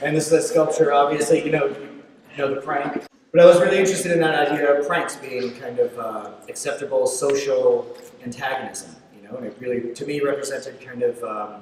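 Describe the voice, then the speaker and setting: Over noticeable background noise and audible room echo, a man talks at a fairly quick pace with a fairly high pitch and big swings in loudness. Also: ordinary pitch variation. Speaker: sculptor. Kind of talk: lecture. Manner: halting, many fillers; fast.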